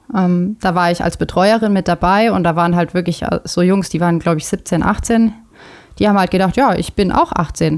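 An ordinary speaking voice from a woman at medium pitch, with a moderate pace, very even loudness and fairly even intonation. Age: 30s. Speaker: triathlon coach. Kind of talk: casual chat.

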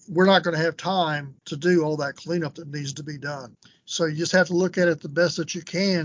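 A man talks at a fairly quick pace with a Texan accent. His intonation stays fairly even. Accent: Texan accent, noticeable. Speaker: business valuation expert. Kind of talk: casual interview.

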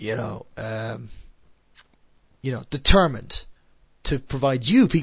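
A somewhat breathy male voice of medium pitch at a moderate pace. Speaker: podcast host. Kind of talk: casual podcast monologue. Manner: halting, many fillers and restarts.

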